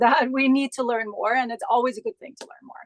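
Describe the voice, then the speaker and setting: A woman is speaking. Her voice is high-pitched. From Austria, Graz. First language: German. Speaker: Pilates instructor and business founder. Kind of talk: interview.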